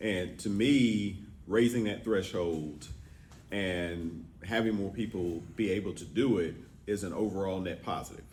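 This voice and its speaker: Audible room echo surrounds speech that moves at a fairly slow pace with ordinary pitch variation. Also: man, fairly low pitch for a man. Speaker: state representative. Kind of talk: answering questions at a public forum. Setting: business roundtable with audience.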